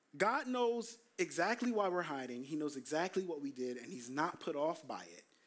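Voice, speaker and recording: With an American accent, a man speaks at a moderate pace in a high pitch, his animated tone marked by very wide pitch swings. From US Northeast, Brooklyn, New York. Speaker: pastor. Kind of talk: sermon. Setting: church.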